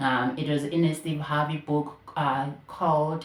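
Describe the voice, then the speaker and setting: The woman here speaks at a fairly slow rate. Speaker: podcast host. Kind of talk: casual podcast monologue.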